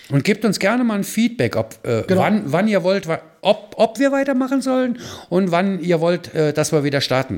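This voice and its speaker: This man has a high pitch with very wide swings. He speaks at a moderate pace. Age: 60s. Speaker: charity founder and photographer. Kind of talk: casual chat.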